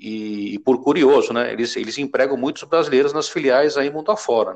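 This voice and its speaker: Against a quiet background, a man talks at a fairly quick pace. His pitch is fairly high, with ordinary variation. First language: Spanish (speaking Portuguese). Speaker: IT project manager. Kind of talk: interview. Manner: hesitant, many fillers.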